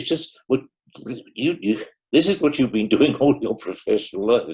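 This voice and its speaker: Vocal fry marks this man's fairly high-pitched voice, which has lively intonation and a moderate pace. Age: 90s. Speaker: club member asking a question. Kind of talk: Q&A at online club meeting. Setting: video call. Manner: halting.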